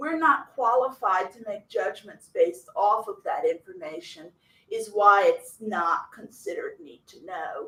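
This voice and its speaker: This woman has a Southern US accent and talks at a fairly slow pace. Her loudness swings widely. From US South. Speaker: foreign language instructor. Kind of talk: workshop discussion.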